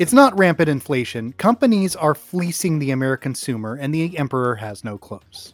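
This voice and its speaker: A man with a fairly high pitch talks at a fairly quick pace with hardly any pauses, very wide pitch swings and big swings in loudness. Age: 40s. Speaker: comedy podcast host. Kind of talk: comedic news reading.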